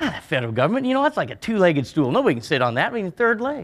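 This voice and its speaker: The speaker has a rural western US accent and talks at a very fast pace. The tone is animated, with very wide pitch swings. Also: man. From Montana. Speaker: rancher. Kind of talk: conference speech. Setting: stage with audience.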